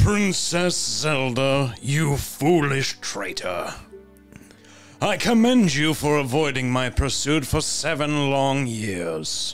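A man at a fairly high pitch and very slow pace, lively in intonation, with faint music in the background. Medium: game stream. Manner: menacing, gloating, comically petulant.

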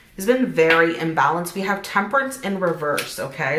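Noticeable background noise sits behind a woman speaking. She talks at a fairly quick pace with a medium pitch. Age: 40s. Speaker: tarot reader and spiritual YouTuber; tarot reader, spiritual YouTuber. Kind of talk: tarot reading monologue.

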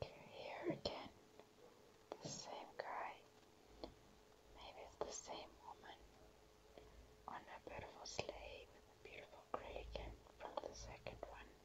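Someone is whispering at a fairly slow pace with long, frequent pauses. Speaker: ASMR creator. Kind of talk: ASMR whispering. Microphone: phone near.

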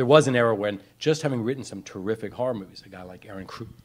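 A man is speaking. His pace is very fast. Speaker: panelist. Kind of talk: panel discussion answer. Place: hall. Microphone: handheld.

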